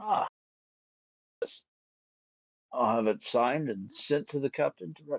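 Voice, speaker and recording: In a raspy, put-on character voice, the speaker talks at a moderate pace with long, frequent pauses. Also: man, fairly high pitch for a man. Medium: actual play. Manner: formal, measured.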